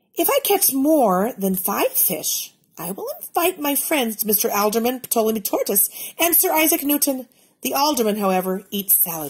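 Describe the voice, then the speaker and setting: A woman performs a high-pitched, put-on character voice at a moderate pace. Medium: read story. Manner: prim, polite.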